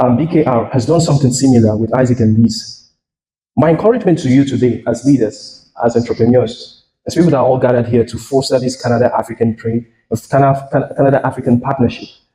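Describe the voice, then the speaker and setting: A man's somewhat breathy voice with a dark, mellow tone, fairly even intonation and a very fast pace. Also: medium pitch for a man. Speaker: tech company founder and CEO. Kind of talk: keynote speech. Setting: stage with audience.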